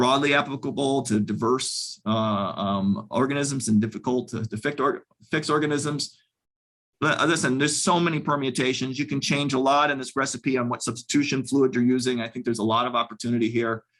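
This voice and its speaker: A man of medium pitch talks at a fairly quick pace with ordinary pitch variation. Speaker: scientist giving a research talk. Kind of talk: lecture. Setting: video call. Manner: fast; halting, many fillers.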